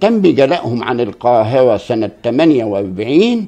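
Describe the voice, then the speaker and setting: A man's voice with very wide pitch swings. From Egypt, Port Said. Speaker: local historian. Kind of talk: interview. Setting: at home.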